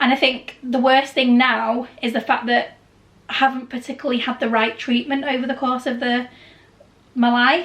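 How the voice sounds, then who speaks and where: Speaking loudly in a British accent, a woman with a high pitch keeps a monotone, flat intonation at a moderate pace over noticeable background noise. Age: 30s. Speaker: travel and Disney vlogger. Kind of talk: casual chat.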